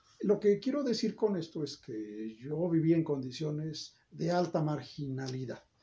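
An ordinary speaking voice from a man, fairly high in pitch, fairly slow yet with hardly any pauses, and lively intonation. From Mexico, State of Mexico (Toluca area). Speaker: academic and political aspirant. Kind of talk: interview. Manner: formal.

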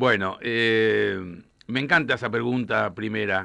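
A man with a bright, sharp tone and lively intonation at a very slow pace. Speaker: journalist author. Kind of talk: radio interview. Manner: halting, repeats words.

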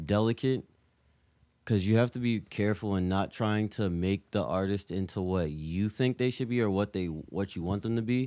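A man speaks at a moderate pace with an American accent. His tone is dark and mellow, and his pitch varies in an ordinary way. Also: fairly low pitch for a man. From Virginia. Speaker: music collective member. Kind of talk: casual chat. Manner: animated.

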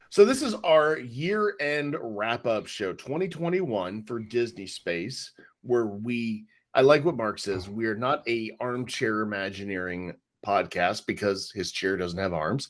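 A man talks at a fairly slow pace with lively intonation. He has a plain, everyday voice. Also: medium pitch for a man. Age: 40s. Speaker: podcast co-host. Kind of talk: casual chat, podcast conversation.

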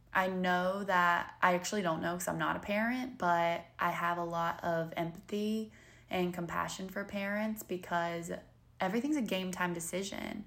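Using a Southern US accent, a woman talks at a moderate pace and medium pitch with fairly even intonation. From North Carolina. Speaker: podcast host and model. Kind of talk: casual solo podcast monologue.

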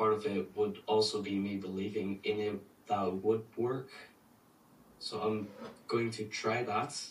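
Speaking at a fairly slow pace with long, frequent pauses, a man sounds somewhat breathy, his intonation fairly even. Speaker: student caller. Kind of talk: Q&A question. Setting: video call.

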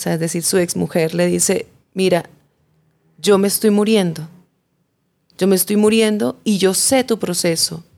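Pitched in the medium range, this woman has a plain, everyday voice and ordinary pitch variation. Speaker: journalist, chronicle writer. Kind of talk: interview, storytelling.

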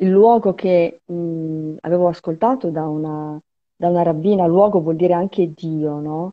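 A woman's voice, fairly low in pitch. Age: old. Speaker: journalist and writer, former religious member. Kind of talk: interview testimony. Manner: halting.

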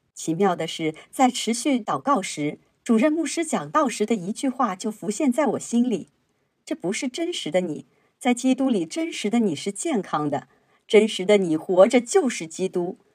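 In a very clean recording with a silent background, a woman speaks at a fairly high pitch with very wide pitch swings. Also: moderate pace. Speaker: church member reading testimonies. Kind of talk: reading aloud.

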